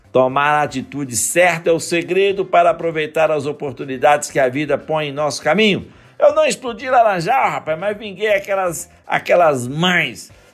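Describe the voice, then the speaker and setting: Using an animated tone and lively intonation, a man with a fairly high pitch speaks at a moderate pace with hardly any pauses. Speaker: podcast host, teacher. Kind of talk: motivational monologue.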